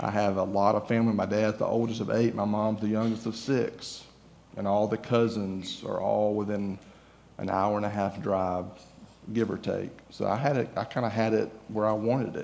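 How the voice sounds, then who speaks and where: A man with a Southern US accent speaks in a fairly low voice. His intonation is monotone and flat. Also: moderate pace. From Georgia, US. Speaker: guest preacher. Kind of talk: sermon. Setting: church.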